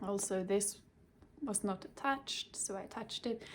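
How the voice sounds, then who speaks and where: Speaking with a Swedish accent, a woman keeps a moderate pace and ordinary pitch variation. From Sweden. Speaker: cross-stitch vlogger. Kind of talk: casual show-and-tell vlog. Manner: halting, with fillers.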